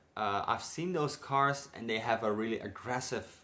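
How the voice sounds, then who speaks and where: A man with a Dutch accent speaks with ordinary pitch variation. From Netherlands. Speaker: car enthusiast vlogger. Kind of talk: casual vlog. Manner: hesitant, many fillers.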